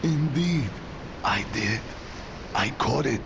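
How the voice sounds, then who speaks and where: Over loud background noise, a man performs a put-on character voice at a fairly high pitch. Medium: video game. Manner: proud, boastful.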